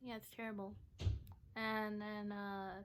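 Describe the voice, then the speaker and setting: Soft-spoken, a woman talks at a fairly slow pace with a fairly high pitch. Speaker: vlogger and poet. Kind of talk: casual vlog talk. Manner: halting.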